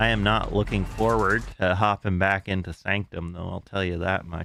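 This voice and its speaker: A man's very deep, low voice, bright and sharp in tone, with monotone, flat intonation. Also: moderate pace. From Canada. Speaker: gaming streamer. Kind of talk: casual live-stream commentary.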